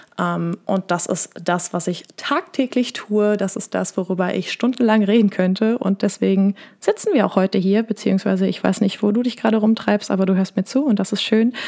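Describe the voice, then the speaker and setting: The woman's voice is medium in pitch. Her pace is moderate and her intonation fairly even. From Lower Rhine / Ruhr area, Germany. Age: 20s. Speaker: podcast host and business mentor. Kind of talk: casual solo podcast monologue.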